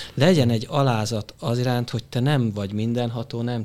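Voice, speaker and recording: A man's medium-pitched voice, a plain, everyday voice, at a moderate pace with ordinary pitch variation, on a very clean recording with a silent background. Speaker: business consultant. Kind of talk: panel discussion.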